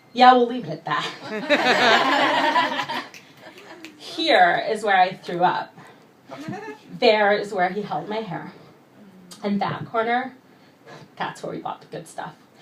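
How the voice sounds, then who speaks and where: Against noticeable background noise, a woman speaks at a very slow pace with long, frequent pauses and very wide pitch swings. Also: fairly high pitch for a woman, big swings in loudness. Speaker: poet. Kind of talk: spoken word poetry performance. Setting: live venue.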